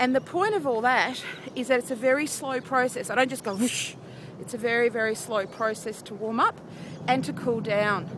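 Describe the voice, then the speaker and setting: With an Australian accent and an upbeat tone, the speaker goes at a moderate pace with ordinary pitch variation over noticeable background noise. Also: woman, high pitch for a woman. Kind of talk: casual vlog talk to camera. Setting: outdoors. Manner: chatty, upbeat.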